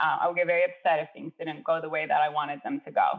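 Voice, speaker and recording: With a Spanish accent, a woman speaks in a fairly low pitch with lively intonation. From Chile. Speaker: architect and adjunct professor. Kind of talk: interview.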